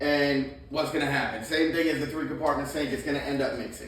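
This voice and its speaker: A man speaks loudly, in a confident tone, at a moderate pace. The room echo is audible, and background noise is noticeable. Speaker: plumbing trainer. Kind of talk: hands-on training talk. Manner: loud and confident.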